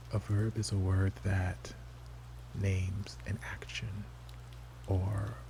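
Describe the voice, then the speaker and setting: A soft-spoken man with a very deep, low voice makes very wide pitch swings. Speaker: ASMR creator. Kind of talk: ASMR game talk to camera.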